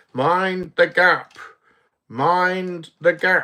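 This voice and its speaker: Using a put-on character voice, a man speaks at a high pitch in a very clean recording with a silent background. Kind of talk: formal, clipped announcement. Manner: posh, imitated.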